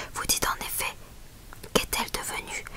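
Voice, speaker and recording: The speaker whispers in a calm tone at a moderate pace. Background noise is noticeable. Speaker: ASMR Bible reader. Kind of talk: whispered ASMR Bible reading. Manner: whispered, calm, relaxing.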